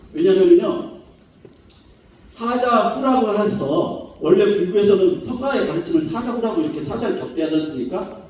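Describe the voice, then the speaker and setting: A man speaks at a moderate pace with an extremely high pitch and very wide pitch swings. The room echo is audible, and there is noticeable background noise. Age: 50s. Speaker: professor. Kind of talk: academic conference lecture. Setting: conference hall with audience.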